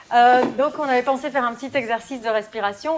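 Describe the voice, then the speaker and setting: A woman speaks at a very fast pace with a fairly high pitch. Her pitch varies in an ordinary way, and there is noticeable background noise. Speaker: yoga instructor. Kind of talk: talk.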